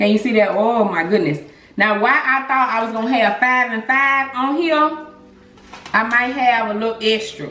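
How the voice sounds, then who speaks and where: A woman with a fairly high pitch talks in an animated tone at a moderate pace, with ordinary pitch variation. Audible room echo and noticeable background noise surround her. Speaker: cooking vlogger. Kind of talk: cooking tutorial. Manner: casual, conversational.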